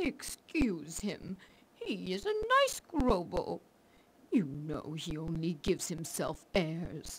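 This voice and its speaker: A woman's put-on character voice, fairly low in pitch, at a very slow pace. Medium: video game.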